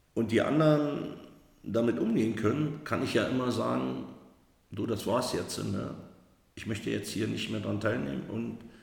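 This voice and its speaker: A man talks at a moderate pace and a fairly low pitch, with lively intonation. His speech has long, frequent pauses, and the room echo is audible. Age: 50s. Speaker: recovering alcoholic. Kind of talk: personal testimony. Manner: halting.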